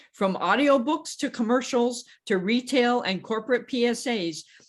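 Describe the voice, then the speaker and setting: A woman with a plain, everyday voice at a moderate pace, on a very clean recording with a silent background. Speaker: podcast host. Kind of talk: casual interview hosting.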